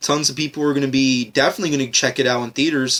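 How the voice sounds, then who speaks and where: Someone talks at a very fast pace with an American accent on a very clean recording with a silent background. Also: man. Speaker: podcast host. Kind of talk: solo podcast monologue. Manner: repetitive, many fillers.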